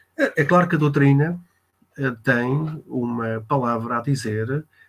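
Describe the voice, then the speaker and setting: With a European Portuguese accent, a man speaks very slowly in a fairly high, somewhat breathy voice with ordinary pitch variation. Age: 60s. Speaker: spiritist speaker, reserve military officer. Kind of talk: talk on spiritism in an online interview. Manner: hesitant, many filler sounds.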